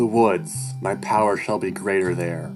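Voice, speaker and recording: Over clear music in the background, a man uses a put-on character voice at a fairly low pitch and a moderate pace. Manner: put-on, dramatic.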